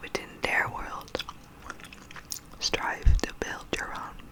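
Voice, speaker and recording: Noticeable background noise is present. A woman whispers very slowly over it. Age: 30s. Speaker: ASMR creator. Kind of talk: ASMR quote reading and rambling. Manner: soft-spoken, whispered.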